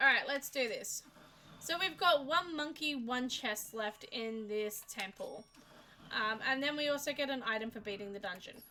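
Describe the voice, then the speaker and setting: The intonation is lively. A woman uses a raised, projected voice. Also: moderate pace. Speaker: streamer. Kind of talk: casual chat. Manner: halting.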